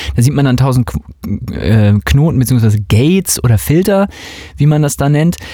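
With an unremarkable speaking voice, a man talks at a fairly slow pace and medium pitch, his intonation lively and his loudness very even. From West Germany. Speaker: music podcast host and dance music producer. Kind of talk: casual chat.

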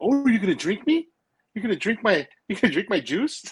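Putting on a character voice, a man talks at a moderate pace with a high pitch.

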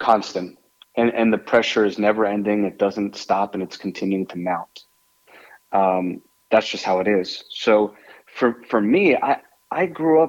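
This man has a normal speaking voice with an American accent, a fairly low pitch, ordinary pitch variation, and a fairly slow pace. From New York, Westchester area. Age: 40s. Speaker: restaurant owner. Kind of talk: interview.

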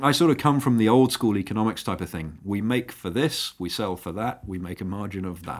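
A man at a moderate pace, with very wide pitch swings, in a very clean recording with a silent background. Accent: British. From England. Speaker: aviation startup founder. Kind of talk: interview.

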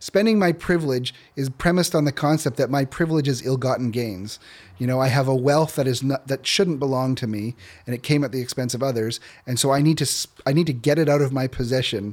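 Speaking with a Canadian accent, a man uses an ordinary speaking voice at a medium pitch and a fairly quick pace. His pitch varies in an ordinary way, on a very clean recording with a silent background. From Canada, rural northwestern Ontario. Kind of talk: interview.

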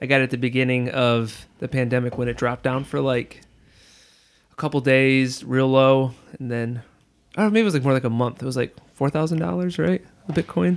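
Talking at a fairly quick pace, a man has an ordinary speaking voice with a medium pitch and ordinary pitch variation. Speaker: podcast host. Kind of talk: casual chat.

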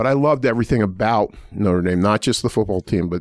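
In an ordinary speaking voice, a man with a fairly low pitch talks at a fairly quick pace, the sound dry and close with no echo on a very clean recording with a silent background. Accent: American. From US Northeast, Pittsburgh. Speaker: law school dean. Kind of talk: interview.

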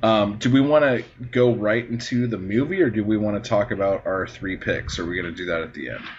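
Over noticeable background noise, a man with a fairly low pitch talks at a fairly quick pace with hardly any pauses and ordinary pitch variation. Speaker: podcast host. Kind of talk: casual comedic chat, movie review. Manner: jokey, profane, sarcastic.

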